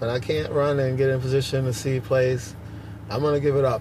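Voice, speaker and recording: With noticeable background noise behind him, a man with a New York accent speaks at a moderate pace and medium pitch. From Brooklyn, New York. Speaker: basketball referee. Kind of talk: interview. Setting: at a tournament venue.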